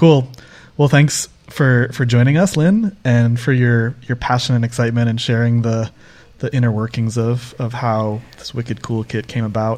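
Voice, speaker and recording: Speaking in a normal speaking voice with an American accent, a man keeps a medium pitch, fairly even intonation and a moderate pace. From Northeast US. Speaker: podcast host, developer advocate. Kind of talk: casual interview conversation. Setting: remote podcast recording.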